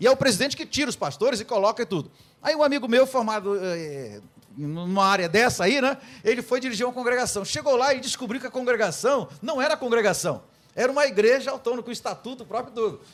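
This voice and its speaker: Speaking very fast, a man uses an extremely high pitch. His intonation is lively. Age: 60s. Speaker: pastor. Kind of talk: radio debate. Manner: halting.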